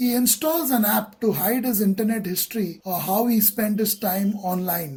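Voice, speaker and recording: Someone with an Indian accent speaks at a moderate pace with hardly any pauses. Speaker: relationship counselor. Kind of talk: list narration.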